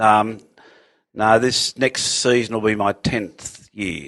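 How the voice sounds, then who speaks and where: The speaker has an Australian accent and talks at a very slow pace. The sound is dry and close with no echo, over a quiet background. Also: man. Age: 60s. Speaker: surf lifesaver and former policeman. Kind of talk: casual chat.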